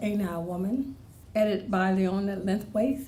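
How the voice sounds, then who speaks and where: The speech moves at a moderate pace with ordinary pitch variation, and audible room echo fills the recording. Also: woman. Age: 60s. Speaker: poet. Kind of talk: poetry reading.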